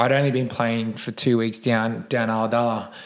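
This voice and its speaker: A man with an Australian accent speaks at a fairly quick pace. His medium-pitched voice stays monotone and flat. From Sydney, Australia (Cronulla). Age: 30s. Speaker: gym owner, recovering addict. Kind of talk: casual interview.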